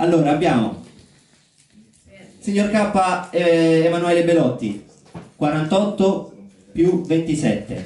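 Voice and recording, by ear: A man's fairly high voice with a dark, mellow tone, lively intonation and a slow pace, in strong room echo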